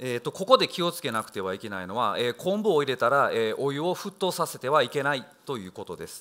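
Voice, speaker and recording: In a very clean recording with a silent background, a man talks at a very fast pace with a fairly high pitch, very wide pitch swings, big swings in loudness, vocal fry and a bright, sharp tone. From Japan, Osaka. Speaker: chef. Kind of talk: lecture. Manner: halting; formal.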